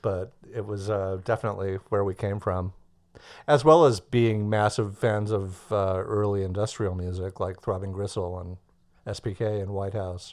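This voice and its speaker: Speaking in a Californian accent, a man has a fairly low voice. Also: moderate pace. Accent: General American (Californian). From US West Coast, Los Angeles. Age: 50s. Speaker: musician and songwriter. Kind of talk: casual interview. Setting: remote call.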